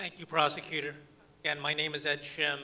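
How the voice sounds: Talking at a fairly quick pace, a man with an American accent has a fairly high pitch, a bright, sharp tone and little pitch movement.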